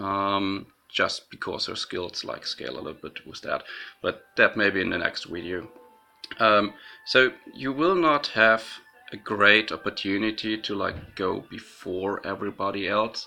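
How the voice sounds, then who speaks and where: Fairly low male voice at a fairly slow pace, with ordinary pitch variation and music in the background. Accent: non-native. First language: not English. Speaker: gaming YouTuber. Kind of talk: gameplay commentary. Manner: hesitant, many fillers.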